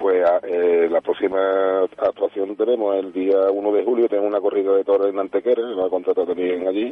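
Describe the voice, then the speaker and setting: Fairly quick and with hardly any pauses, a man talks in a fairly low, flat monotone. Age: 50s. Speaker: band director and music teacher. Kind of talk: radio interview.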